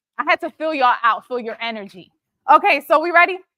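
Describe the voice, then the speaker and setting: A raised, projected voice in an American accent, bright and sharp in tone, with very wide pitch swings. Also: woman. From Philadelphia, US. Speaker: motivational speaker and entrepreneur. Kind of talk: motivational talk. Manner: animated.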